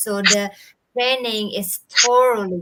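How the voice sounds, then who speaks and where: Speaking fairly slowly, a woman with a medium-pitched voice talks in an Indonesian accent. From Bali, Indonesia. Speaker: digital entrepreneur. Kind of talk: live interview. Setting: live video stream. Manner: halting.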